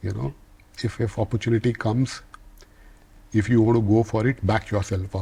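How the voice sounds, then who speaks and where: A man's fairly low voice, dark and mellow in tone and somewhat breathy, at a moderate pace. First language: not English. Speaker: business leader. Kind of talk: interview. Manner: halting, with repeated words.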